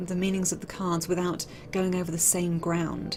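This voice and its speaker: A woman speaks with a British accent at a fairly low pitch. Her pace is moderate. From Britain. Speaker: tarot author. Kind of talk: casual talk about own work. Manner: halting, frequent ums.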